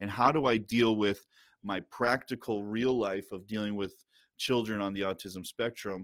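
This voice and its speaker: In a normal speaking voice, a man with an American accent talks at a moderate pace and a fairly low pitch. His intonation is fairly even, and the recording is very clean with a silent background. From upstate New York. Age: 30s. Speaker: pastor. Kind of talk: casual interview.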